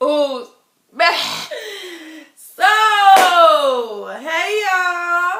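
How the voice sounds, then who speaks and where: Her voice raised and projected, a woman speaks in an animated tone with very wide pitch swings, and the room echo is audible. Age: 20s. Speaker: vlogger. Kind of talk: casual vlog.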